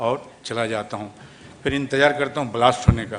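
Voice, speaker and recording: A man of medium pitch speaks with a Bengali accent over noticeable background noise. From West Bengal (Kolkata). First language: Bengali (speaking Hindi). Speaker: film actor. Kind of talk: speech at event.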